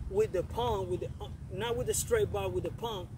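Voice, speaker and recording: The voice belongs to a man. Background noise is noticeable throughout. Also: dry sound with no echo. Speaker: fitness coach. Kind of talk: motivational workout talk. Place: open country.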